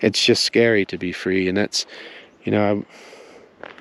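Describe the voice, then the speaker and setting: A quiet man's voice, fairly low in pitch, with fairly even intonation and noticeable background noise. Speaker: spiritual teacher. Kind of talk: spoken teaching monologue. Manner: subdued, quiet.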